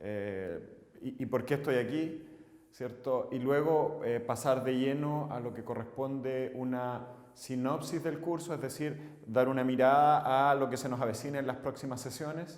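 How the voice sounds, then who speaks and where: Someone with a Chilean accent talks at a fairly slow pace with fairly even intonation, with noticeable background noise and audible room echo. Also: man, medium pitch for a man. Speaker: civil engineer and course instructor. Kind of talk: lecture. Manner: halting, frequent filler 'eh'.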